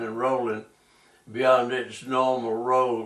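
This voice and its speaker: Speaking with a North Carolina accent, a man uses a medium pitch and a fairly slow pace. His intonation is monotone and flat, and background noise is noticeable. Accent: US Southern (North Carolina). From North Carolina (Tarboro). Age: 80s+. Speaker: war veteran. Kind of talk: oral history interview. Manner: halting, with many fillers.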